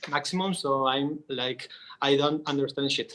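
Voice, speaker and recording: The speaker has a Spanish accent and fairly even intonation. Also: man. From Argentina, Córdoba. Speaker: VR artist and painter. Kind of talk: panel discussion. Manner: halting.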